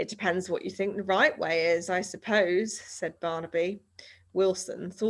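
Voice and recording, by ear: Reading aloud in a natural voice, with fairly even intonation.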